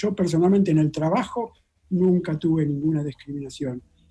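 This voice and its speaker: A man speaks in a Rioplatense accent at a moderate pace. His fairly high voice has a dark, mellow tone. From Argentina. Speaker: molecular biologist. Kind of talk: interview.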